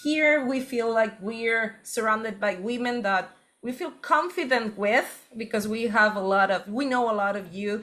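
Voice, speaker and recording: A woman with a Spanish accent speaks at a moderate pace in a bright, sharp tone, her fairly high pitch showing ordinary variation. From Spain. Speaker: workshop co-host. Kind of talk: online workshop session.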